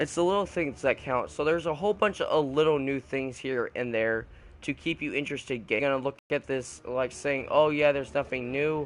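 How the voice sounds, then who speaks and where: A man's fairly high voice carries ordinary pitch variation as he talks at a moderate pace. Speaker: video game reviewer. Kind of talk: game review commentary. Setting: talking over gameplay footage. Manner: halting, many fillers and restarts.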